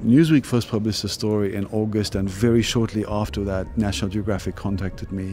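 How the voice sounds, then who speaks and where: Music plays in the background as a man talks in a fairly low voice with ordinary pitch variation. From South Africa. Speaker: photojournalist. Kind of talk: interview. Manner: hesitant, many fillers.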